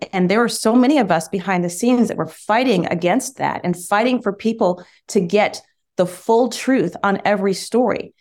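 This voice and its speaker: An unremarkable speaking voice from a woman with an American accent, medium in pitch with ordinary pitch variation, on a very clean recording with a silent background. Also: moderate pace. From US Midwest (Michigan). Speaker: former TV news anchor, bull owner. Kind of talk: interview.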